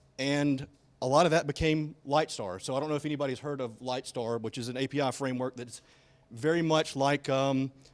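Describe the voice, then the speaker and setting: A man speaks with a slight Alabama accent at a fairly quick pace. His pitch is fairly high and his intonation fairly even. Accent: slight Alabama Southern. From Alabama, US South. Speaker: software engineer, conference speaker. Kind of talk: conference talk. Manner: casual, with many fillers.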